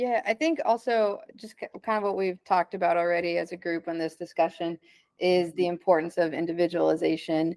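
A woman with an American accent talks at a fairly quick pace in an ordinary speaking voice, fairly low in pitch with fairly even intonation. The sound is dry and close, with no echo. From Texas, Dallas. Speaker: physical therapist for a basketball team. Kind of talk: panel discussion. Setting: video call.

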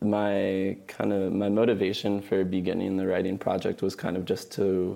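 A man with a fairly low pitch and a dark, mellow tone speaks at a moderate pace. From New Mexico, Albuquerque. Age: 20s. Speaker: writer and linguist. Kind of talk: casual interview. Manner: hesitant, frequent um and uh.

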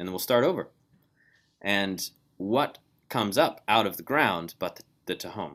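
A man speaks at a moderate pace in a fairly low pitch, with lively intonation and big swings in loudness. Long pauses come often. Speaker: Bible course teacher. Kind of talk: online lecture. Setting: video call. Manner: quiet.

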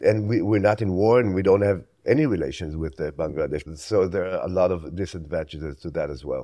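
A man with an Israeli accent talks at a fairly quick pace, his dark, mellow voice very deep and low with ordinary pitch variation, over a quiet background. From Israel (Tel Aviv area). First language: Hebrew. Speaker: photojournalist. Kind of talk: interview.

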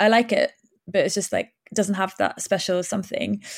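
A woman with a Welsh accent, at a very fast pace with ordinary pitch variation. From Wales. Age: 30s. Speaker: novelist. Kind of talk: interview.

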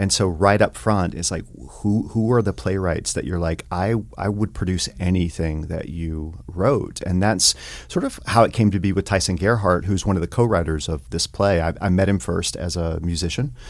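A man with an American accent and a very deep, low pitch talks at a moderate pace with vocal fry, ordinary pitch variation and hardly any pauses. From US South, rural East Tennessee. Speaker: theater director and teacher. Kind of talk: casual interview.

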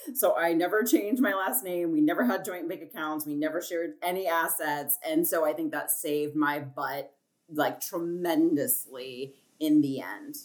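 A woman's ordinary speaking voice, fairly low in pitch, at a moderate pace with ordinary pitch variation. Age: 30s. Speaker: artist and designer. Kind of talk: casual chat.

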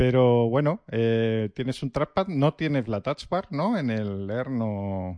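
A man with a medium pitch and a dark, mellow tone talks very slowly, with hardly any pauses and lively intonation. The sound is dry and close with no echo, and the background is quiet. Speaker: tech podcast co-host. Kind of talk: casual chat.

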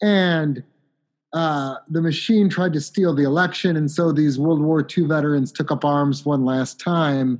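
Over a quiet background, a man with an American accent and an ordinary speaking voice talks at a fairly slow pace with ordinary pitch variation. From Chicago. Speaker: author. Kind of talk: casual interview.

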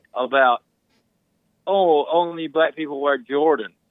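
A man's fairly high voice, at a fairly slow pace, in a Southern US accent. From Mississippi. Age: 40s. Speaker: caller. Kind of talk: call-in chat.

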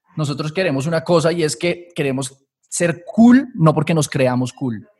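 A somewhat breathy male voice. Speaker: systems engineer and academy founder. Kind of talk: casual interview.

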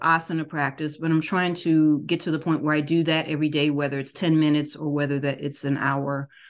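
Against a quiet background, a woman with a very deep, low voice talks at a moderate pace. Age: 50s. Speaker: podcast host and wellness/yoga teacher. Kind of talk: casual monologue.

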